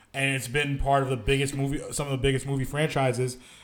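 An ordinary speaking voice moves at a fairly quick pace. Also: man. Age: 30s. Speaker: podcast co-host. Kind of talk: casual chat.

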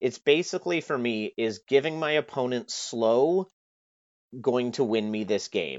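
A man with a Canadian accent speaks at a medium pitch and a moderate pace. His intonation is lively. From Canada. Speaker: tabletop gamer, competitive player. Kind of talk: casual chat.

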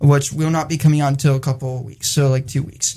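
A man talks at a fairly quick pace in a somewhat breathy voice with a dark, mellow tone. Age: 20s. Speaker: online radio show co-host. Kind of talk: casual chat. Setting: studio.

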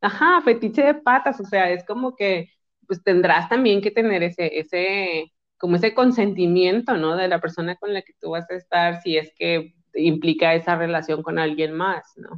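A woman's medium-pitched voice, at a moderate pace, with ordinary pitch variation. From Mexico, Monterrey. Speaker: psychologist and sexologist. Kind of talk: casual chat.

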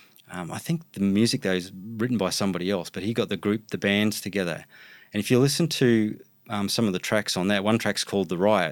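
Speaking at a very fast pace, a man with an Australian accent has a fairly low pitch. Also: ordinary pitch variation, very clean recording, silent background. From Brisbane, Australia. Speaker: hip-hop producer and DJ. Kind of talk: casual interview.

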